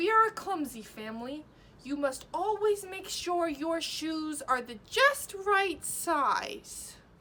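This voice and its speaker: Using a put-on character voice, a woman speaks at a fairly slow pace with extremely high pitch, very wide pitch swings, and big swings in loudness. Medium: solo performance.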